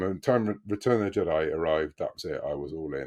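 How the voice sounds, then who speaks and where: The speech comes at a fairly quick pace. It is delivered in a British accent. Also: man. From Britain. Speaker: author. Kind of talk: casual interview.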